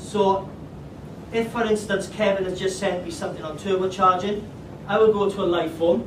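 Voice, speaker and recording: With long, frequent pauses and a moderate pace, a man speaks in a high, monotone, flat voice, with audible room echo and noticeable background noise. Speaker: teacher. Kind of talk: presentation.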